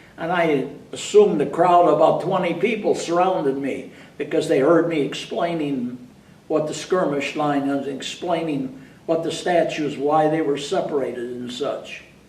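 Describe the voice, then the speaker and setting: A man speaks in a fairly high voice, with audible room echo and noticeable background noise. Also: ordinary pitch variation, moderate pace. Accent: American. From upstate New York. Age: 80s+. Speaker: war veteran. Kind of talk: interview. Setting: library.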